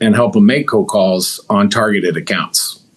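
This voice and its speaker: A man with an American accent talks in a plain, everyday voice at a moderate pace with ordinary pitch variation. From Missouri. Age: 50s. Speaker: business owner. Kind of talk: interview.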